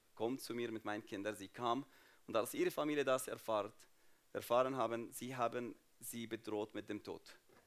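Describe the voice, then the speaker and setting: Here a man speaks with an Arabic accent at a medium pitch. His pace is fairly slow and his intonation fairly even. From Jordan (Palestinian refugee family). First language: Arabic (speaking German). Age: 30s. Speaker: guest speaker at church. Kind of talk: testimony.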